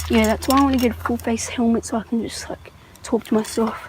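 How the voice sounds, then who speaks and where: Noticeable background noise sits behind a woman speaking. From Australia, Tasmania. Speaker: beginner bike vlogger. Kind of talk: casual vlog while riding. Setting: outdoors on a bike.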